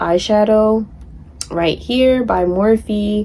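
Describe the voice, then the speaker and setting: The woman's medium pitch shows ordinary pitch variation in a normal speaking voice. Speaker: beauty vlogger. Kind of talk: makeup tutorial. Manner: casual, chatty.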